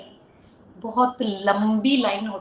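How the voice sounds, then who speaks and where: Here a woman talks at a fairly high pitch with ordinary pitch variation. Noticeable background noise runs underneath. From Rajasthan, Churu. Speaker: model and actress. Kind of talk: interview. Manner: casual, Hindi-English code-switching.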